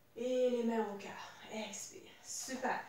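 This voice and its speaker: A high-pitched woman's voice with audible room echo. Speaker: fitness instructor. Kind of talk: guided workout class. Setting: home video workout. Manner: calm, coaching cues; short imperative cues. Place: home room. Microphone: camera far.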